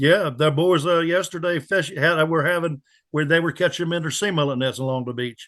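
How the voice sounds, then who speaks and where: Speaking at a fairly quick pace, a man with an unremarkable speaking voice talks at a fairly high pitch with ordinary pitch variation. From Pamlico County, North Carolina. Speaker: charter boat captain. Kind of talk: interview answer.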